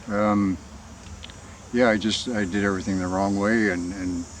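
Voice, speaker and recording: Over noticeable background noise, a man talks at a moderate pace and fairly low pitch with fairly even intonation. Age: 60s. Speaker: conspiracy video blogger. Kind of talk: personal monologue. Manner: halting.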